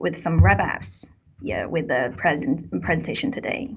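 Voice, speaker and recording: A woman with a Chinese accent speaks with vocal fry. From China. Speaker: university student presenter. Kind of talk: webinar presentation. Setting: online webinar.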